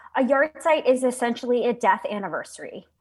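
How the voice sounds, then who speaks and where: The speaker has an American accent, captured in a very clean recording with a silent background. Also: woman. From US Northeast, suburban Connecticut. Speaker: writer. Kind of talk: interview. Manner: hesitant, many fillers.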